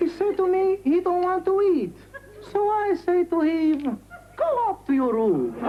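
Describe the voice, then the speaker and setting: A put-on character voice with very even loudness. Background noise is clearly audible. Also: woman, extremely high pitch for a woman, moderate pace. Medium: comedy sketch.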